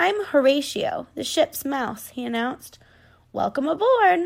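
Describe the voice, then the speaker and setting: On a very clean recording with a silent background, a woman performs a put-on character voice. It is raspy and high-pitched, delivered at a fairly slow pace. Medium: read story.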